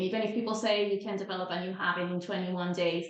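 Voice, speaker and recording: In a Spanish accent, a woman speaks with audible room echo. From Venezuela. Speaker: time management coach. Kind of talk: podcast interview.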